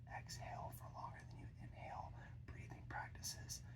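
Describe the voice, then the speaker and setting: A fairly slow whisper in a relaxed tone, over noticeable background noise. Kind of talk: ASMR whisper ramble, casual talk to camera. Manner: soft-spoken, relaxed, conversational.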